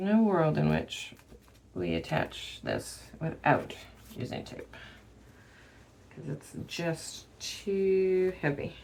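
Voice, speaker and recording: A woman at a very slow pace, with long, frequent pauses and big swings in loudness. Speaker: craft tutorial creator. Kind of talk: tutorial. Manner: thinking out loud, casual.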